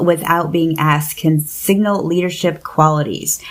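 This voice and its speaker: The speaker is a woman. Her pitch sits fairly low. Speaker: podcast host. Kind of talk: casual chat. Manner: fast; animated.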